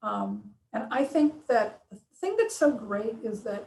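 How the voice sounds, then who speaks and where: At a fairly slow pace, a woman with a fairly high pitch talks in a plain, everyday voice. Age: 60s. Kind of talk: casual interview.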